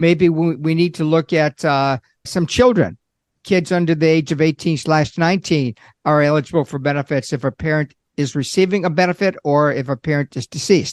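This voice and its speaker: A man's unremarkable speaking voice, fairly high in pitch with ordinary pitch variation, delivered at a fairly quick pace in a dry, close sound with no echo over a quiet background. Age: 60s. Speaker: Social Security expert, accountant. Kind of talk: podcast interview.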